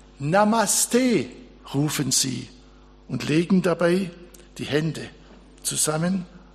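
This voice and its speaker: Very slow in pace, a man with a fairly high pitch talks with lively intonation. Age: old. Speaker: pastor. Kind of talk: sermon.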